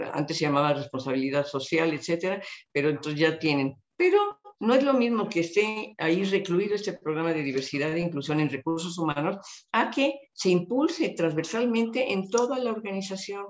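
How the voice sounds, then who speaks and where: Speaking at a moderate pace, a woman has a plain, everyday voice, fairly low in pitch. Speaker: retired public official and speaker. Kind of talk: interview conversation.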